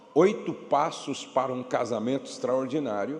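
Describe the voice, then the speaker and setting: Amid noticeable background noise and audible room echo, a man speaks at a very slow pace. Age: 60s. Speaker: pastor and marriage speaker. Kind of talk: church workshop talk; sales pitch. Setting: church with audience and PA system. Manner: not shouting, moderate volume.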